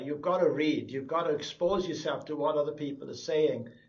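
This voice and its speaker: With a South Welsh accent, a man speaks at a moderate pace and fairly high pitch, with ordinary pitch variation and audible room echo. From South Wales, Kidwelly. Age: 60s. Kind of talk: interview testimony.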